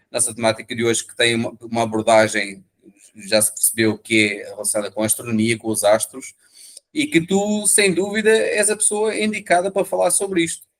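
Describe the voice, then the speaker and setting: This man speaks with a European Portuguese accent. His voice is high-pitched and swings very widely in pitch. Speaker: interview show host. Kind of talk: interview introduction. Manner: halting, many fillers.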